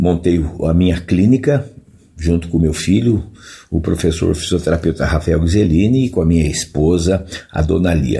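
A man speaks in a very deep, low, somewhat breathy voice with a dark, mellow tone. The recording is very clean, with a silent background. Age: 70s. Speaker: physical education professor. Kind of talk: interview.

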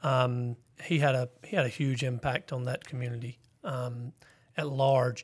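In a very clean recording with a silent background, a man with a Southern US accent speaks fairly slowly, somewhat breathy, at medium pitch with fairly even intonation. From South Carolina. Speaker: school principal. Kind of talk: interview. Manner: halting.

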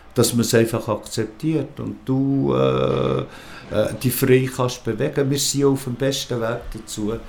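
Through noticeable background noise, a man at a medium pitch speaks fairly slowly. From rural Switzerland. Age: 70s. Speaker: queer seniors association volunteer. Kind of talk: interview. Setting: at his home. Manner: halting.

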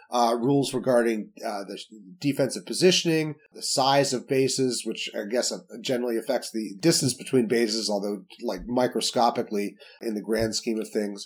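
With ordinary pitch variation, this man's delivery stays in a normal speaking voice. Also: medium pitch for a man, moderate pace. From Salt Lake City, Utah. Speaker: baseball writer.

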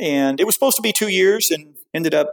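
A man talks with a high pitch and ordinary pitch variation. The sound is dry and close, with no echo. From US South. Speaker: bike industry executive. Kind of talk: casual interview.

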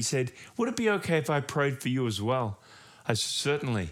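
A man in an Australian accent, medium in pitch and fairly quick. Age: 50s. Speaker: pastor. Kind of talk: sermon. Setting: home recording.

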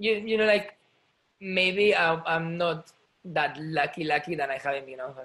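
His pitch shifts in an ordinary way. This man's tone is bright and sharp. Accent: Spanish. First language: Spanish. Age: 30s. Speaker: ballet dancer. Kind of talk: casual chat. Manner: halting.

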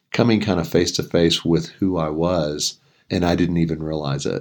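With an American accent, a man speaks in a very deep, low pitch with ordinary pitch variation. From Texas, near Houston. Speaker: author and ministry executive. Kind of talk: interview.

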